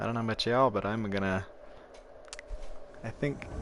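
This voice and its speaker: This man's pitch varies in an ordinary way over noticeable background noise. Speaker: gaming streamer. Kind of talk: live gameplay commentary. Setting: home, roommate nearby.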